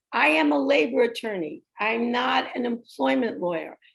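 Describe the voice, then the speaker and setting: The voice moves at a moderate pace with very wide swings in pitch. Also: woman. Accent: New York. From New York. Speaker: retired labor attorney. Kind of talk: workshop presentation.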